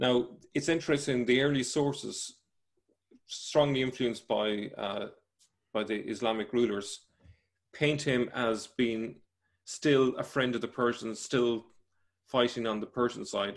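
A man speaks at a fairly slow pace with fairly even intonation. Long, frequent pauses break up his speech over a quiet background. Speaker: remote guest. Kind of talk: interview answer. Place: home room. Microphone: video call.

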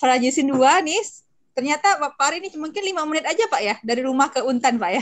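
A woman talks at a very fast pace with lively intonation. Her pitch is high, and the background is quiet. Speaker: moderator. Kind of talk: formal event moderation. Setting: video call. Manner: many filler hesitations. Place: home room. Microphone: video call.

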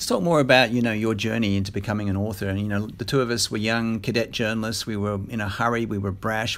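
In an Australian accent, a man speaks at a very fast pace with a fairly low pitch and fairly even intonation. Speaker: interviewer, former journalist. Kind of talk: interview. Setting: on location in Brisbane.

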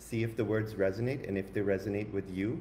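Over light background noise, a man with a fairly low pitch and a dark, mellow tone speaks at a fairly quick pace, somewhat breathy, with ordinary pitch variation. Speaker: spiritual coach and co-host. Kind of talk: upbeat spiritual talk. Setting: live online stream. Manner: enthusiastic, animated. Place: home room. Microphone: webcam.

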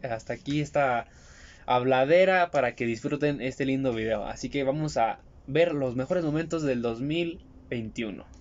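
Fairly slow male speech with ordinary pitch variation. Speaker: car vlogger. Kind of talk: casual vlog chat. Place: car. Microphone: phone near.

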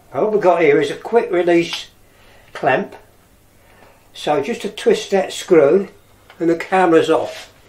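Noticeable background noise accompanies a man who speaks with long, frequent pauses. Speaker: camera hobbyist vlogger. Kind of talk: tutorial. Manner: halting.

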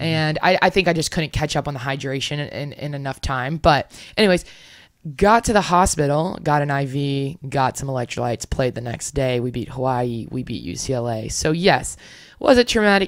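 Lively intonation carries the speech at a moderate pace, recorded dry with no echo against a quiet background. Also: woman. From Louisiana. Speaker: professional beach volleyball player; podcast guest. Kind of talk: interview. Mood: reflective, sometimes somber. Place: home room. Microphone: studio mic.

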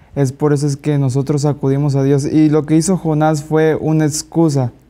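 A fairly high-pitched man with a Mexican accent, dark and mellow in tone, monotone and flat, at a fairly slow pace. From Mexico. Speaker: Bible study participant. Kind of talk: Bible study discussion. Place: studio. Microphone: lapel.

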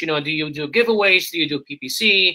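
A plain, everyday voice from a man, fairly quick, with ordinary pitch variation. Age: 20s. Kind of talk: casual live-stream interview.

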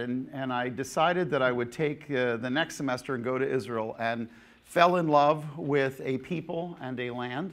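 At a moderate pace and with hardly any pauses, a man talks in a fairly high pitch with ordinary pitch variation. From New Jersey. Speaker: pastor and Bible teacher; pastor, Bible teacher. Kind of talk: seminar lecture. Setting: conference hall with audience. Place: church. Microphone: lapel.

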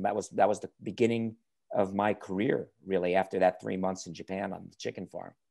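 A man speaks with an American accent and a dark, mellow tone. The background is quiet. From New York area. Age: 50s. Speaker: car YouTuber. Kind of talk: interview. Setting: video call. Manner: enthusiastic. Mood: relaxed, friendly. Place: home room. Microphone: earbuds.

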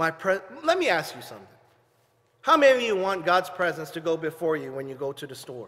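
This man's pitch ranges very widely. He talks at a fairly fast clip. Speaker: pastor. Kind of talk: online worship sermon with call-and-response prompts. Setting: livestream/video to home viewers. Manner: exuberant, peppering nearly every sentence with hallelujah and amen; fervent, repetitive call-and-response exhortation to home viewers. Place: church.

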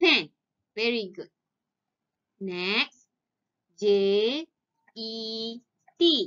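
Taking long, frequent pauses, a woman speaks at a very slow pace with lively intonation and a fairly high pitch. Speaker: preschool teacher. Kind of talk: online lesson for young children. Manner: slow, clear spelling aloud.

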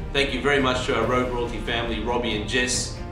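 Clear music plays in the background as a man talks at a fairly quick pace with audible room echo. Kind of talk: prepared address to viewers. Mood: earnest, calm.

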